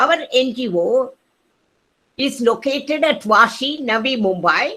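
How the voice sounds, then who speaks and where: Raising and projecting her voice, a woman speaks at a high pitch in a bright, sharp tone. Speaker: retired physicist, NGO trustee. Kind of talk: welcome speech. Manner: loud.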